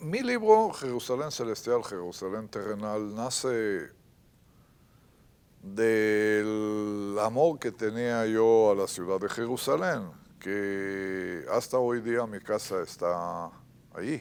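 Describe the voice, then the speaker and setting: A man with an Israeli accent speaks at a very slow pace with a fairly low pitch and ordinary pitch variation, in a very clean recording with a silent background. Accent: Israeli Hebrew accent in Spanish. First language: Hebrew (speaking Spanish). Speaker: writer. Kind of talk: interview. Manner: halting.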